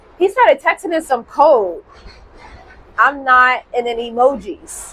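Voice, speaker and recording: Over noticeable background noise, a woman's high voice moves in very wide pitch swings. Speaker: podcast host. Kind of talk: casual storytelling monologue. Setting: outdoors on a balcony. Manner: animated.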